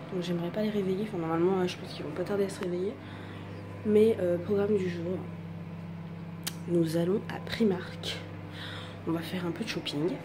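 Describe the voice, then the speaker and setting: Soft-spoken and medium in pitch, a woman talks at a fairly quick pace with fairly even intonation and long, frequent pauses. Audible room echo and noticeable background noise fill the recording. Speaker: vlogger, young mother. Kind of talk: casual vlog. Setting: small apartment at home. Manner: soft-spoken, speaking quietly.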